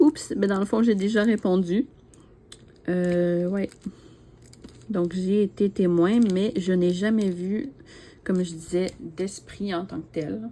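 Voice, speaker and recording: The speaker has a Quebec accent and ordinary pitch variation. The pace is very slow, with long, frequent pauses. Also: woman, medium pitch for a woman. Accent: Québécois French. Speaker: YouTuber, diamond painting hobbyist. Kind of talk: casual chat, tag video answering questions. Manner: hesitant, many fillers.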